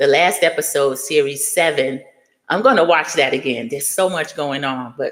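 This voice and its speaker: A woman with a very deep, low pitch speaks in an animated tone. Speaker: youtuber discussing reality TV. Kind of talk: live stream commentary. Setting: live stream reading chat. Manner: fast.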